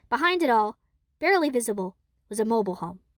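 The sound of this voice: A woman at a fast pace and fairly high pitch, with big pitch swings and a dry, close sound with no echo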